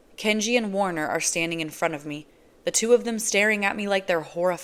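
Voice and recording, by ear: Someone is reading aloud in a natural voice. The pitch variation is ordinary.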